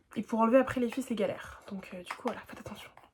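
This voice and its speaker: High female voice with ordinary pitch variation. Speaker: beauty youtuber. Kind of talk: tutorial. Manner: fast; casual slangy.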